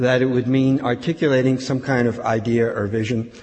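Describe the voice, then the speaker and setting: In an ordinary speaking voice, a man of medium pitch talks at a fairly quick pace. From Philadelphia, US Northeast. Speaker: professor. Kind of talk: lecture.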